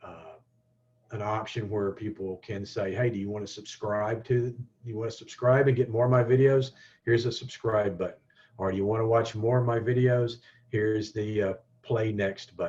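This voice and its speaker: Somewhat breathy and fairly low in pitch, a man speaks at a moderate pace with a Southern US accent. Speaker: digital marketing instructor. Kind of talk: webinar tutorial. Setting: online webinar. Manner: halting, many fillers and restarts.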